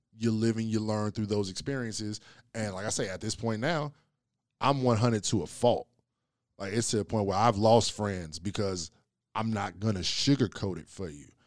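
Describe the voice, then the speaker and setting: A man with a normal speaking voice, fairly low in pitch, at a moderate pace, with ordinary pitch variation, big swings in loudness, and a very clean recording with a silent background. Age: 30s. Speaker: podcast host. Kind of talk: casual chat.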